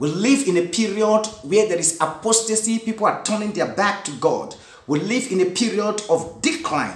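Audible room echo surrounds a man's high-pitched voice. He talks at a moderate pace with lively intonation. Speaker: preacher. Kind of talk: sermon / Bible study teaching. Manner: earnest, didactic, preacherly with 'Amen' call-outs; rhetorical questions, emphatic and repetitive. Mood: earnest, sometimes smiling. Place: home room. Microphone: phone near.

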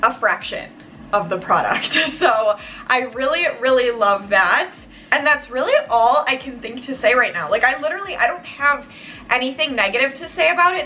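Faint music plays in the background. A woman speaks in a raised, projected voice at a moderate pace. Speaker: beauty vlogger. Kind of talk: casual product review chat. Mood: happy, enthusiastic. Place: home room.

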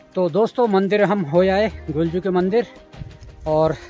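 A man's high voice at a fairly slow pace, ordinary pitch variation, dry sound with no echo, faint music in the background. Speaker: travel vlogger. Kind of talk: casual vlog chat. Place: forest. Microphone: phone near.

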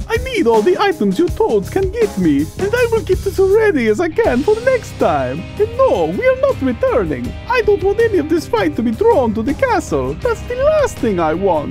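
The speech moves at a moderate pace while music plays clearly in the background. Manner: bitter, furious.

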